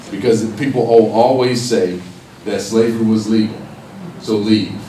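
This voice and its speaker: Over noticeable background noise and audible room echo, a man at a medium pitch speaks at a fairly slow pace with monotone, flat intonation. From Los Angeles, California (Watts, Compton). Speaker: professor and activist. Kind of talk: public talk.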